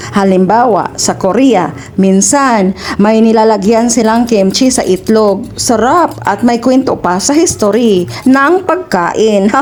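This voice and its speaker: A woman with a Visayan accent talks at a very slow pace and a fairly high pitch with lively intonation. Her loudness stays very even against noticeable background noise. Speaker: cooking vlogger. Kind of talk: casual storytelling while cooking. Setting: home kitchen. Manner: stumbling over words.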